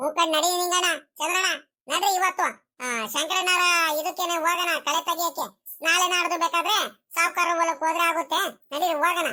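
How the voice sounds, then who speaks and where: Extremely high in pitch, a cartoonish character voice moves at a moderate pace. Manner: casual, rustic.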